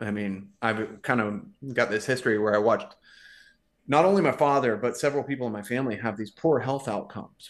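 A normal speaking voice at a fairly quick pace, ordinary pitch variation and a quiet background. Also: man, medium pitch for a man. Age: 40s. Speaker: male model and podcaster. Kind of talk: casual chat.

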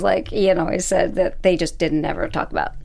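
A woman talks at a fairly quick pace, with audible echo in the room. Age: 20s. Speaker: TV aftershow podcast host. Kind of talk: casual chat.

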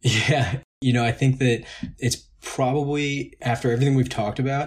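Somewhat breathy, a man with an American accent talks at a moderate pace. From Long Island, New York. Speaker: plastic surgery resident. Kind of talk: interview.

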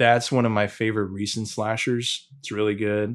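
The man's voice is pitched fairly low. He delivers his words in a flat monotone. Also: very clean recording, silent background. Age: 30s. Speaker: death metal guitarist. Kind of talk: casual interview chat.

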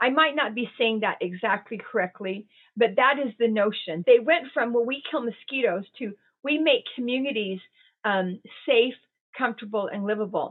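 With ordinary pitch variation and a fairly high pitch, a woman uses a plain, everyday voice at a moderate tempo. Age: 60s. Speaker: resilience and well-being advisor. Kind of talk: interview.

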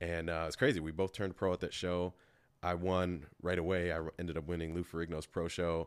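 A man with an American accent speaks in a very deep, low voice at a fairly quick pace, his intonation monotone and flat. The recording is very clean, with a silent background. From Kenosha, Wisconsin, US Midwest. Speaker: professional bodybuilder and personal trainer. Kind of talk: casual interview chat.

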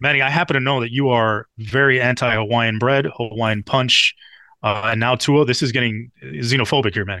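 This man has an American accent and a medium pitch with ordinary pitch variation. He speaks fairly quickly in a bright, sharp tone. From Miami, Florida. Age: 40s. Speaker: football analyst. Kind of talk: casual chat.

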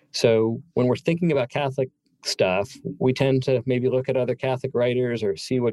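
With an American accent and a normal speaking voice, a man talks at medium pitch and a moderate pace, with ordinary pitch variation and a dry, close sound with no echo. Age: 50s. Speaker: author and magazine writer. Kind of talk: interview conversation.

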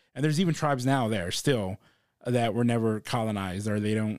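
With an American accent, a man talks at a medium pitch in an ordinary speaking voice. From South Texas, Corpus Christi. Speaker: comedian. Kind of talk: casual chat.

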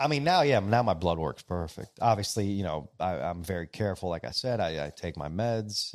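A man with a plain, everyday voice, fairly low in pitch, fairly quick and lively in intonation, on a very clean recording with a silent background. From Greece, Greek-American family. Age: 40s. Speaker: salon owner. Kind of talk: casual interview chat. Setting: studio in a salon, live event.

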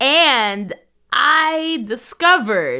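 Her tone bright, sharp and animated, a woman speaks with very wide pitch swings. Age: 30s. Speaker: podcast co-host and culture writer. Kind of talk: casual chat.

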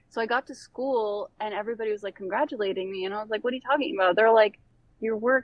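Talking at a very fast pace, a woman uses a fairly high pitch and ordinary pitch variation. She has an American accent. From Bosnia, raised partly in Florida. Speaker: artist. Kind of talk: casual interview chat. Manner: animated.

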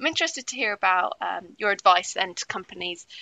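A woman with a British accent. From UK. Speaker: trade magazine editor and podcast host. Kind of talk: interview.

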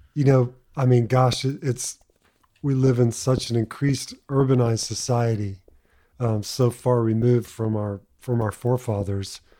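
A man with an American accent speaks at a moderate pace, with a medium pitch, a dark, mellow tone and fairly even intonation. The recording is very clean, with a silent background. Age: 50s. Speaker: podcast host and fly fishing guide. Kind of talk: casual chat.

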